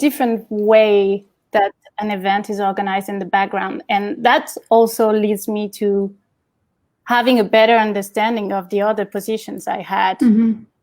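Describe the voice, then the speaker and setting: A woman talks at a moderate pace with a fairly high pitch. Her intonation stays fairly even. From Champagne, France. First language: French. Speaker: event professional. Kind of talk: interview answer.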